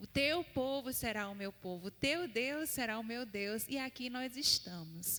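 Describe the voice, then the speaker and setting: Speaking at a fairly slow pace with hardly any pauses, a woman with a northeastern Brazilian accent uses lively intonation and a bright, sharp tone at a fairly high pitch. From Paraíba, Brazil (Campina Grande). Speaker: seminary student and missionary preacher. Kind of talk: sermon. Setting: church.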